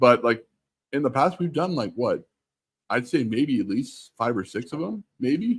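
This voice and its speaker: A somewhat breathy male voice at a fairly slow pace. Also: medium pitch for a man, lively intonation, very clean recording, silent background. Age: 30s. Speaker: livestream co-guest. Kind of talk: casual chat.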